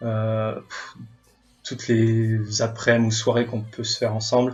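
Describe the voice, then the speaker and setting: A man speaks at a medium pitch in a somewhat breathy voice. His intonation is monotone and flat. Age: 20s. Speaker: airline pilot and tennis club member. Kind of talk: casual interview. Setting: recorded at home. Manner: hesitant, many filler sounds.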